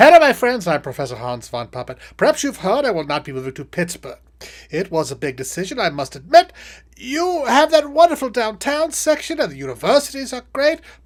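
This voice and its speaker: In a very clean recording with a silent background, a put-on character voice with a fairly high pitch moves at a fairly quick pace through very wide pitch swings. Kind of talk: comedic political satire monologue.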